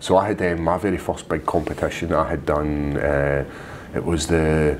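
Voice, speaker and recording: Over noticeable background noise, a man with a very deep, low pitch talks at a moderate pace with fairly even intonation. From Scotland. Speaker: MMA fighter. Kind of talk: casual chat.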